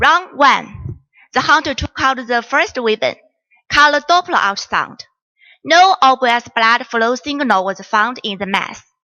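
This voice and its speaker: A woman with a Chinese accent speaks at a moderate pace in a high pitch. Her intonation is lively. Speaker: doctor. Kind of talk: case presentation. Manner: formal.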